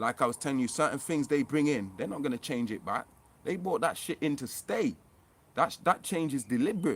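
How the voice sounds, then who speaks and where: Speaking at a fairly quick pace, a man sounds animated, his pitch swinging very widely. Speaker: conspiracy vlogger. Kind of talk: casual monologue vlog. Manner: fast.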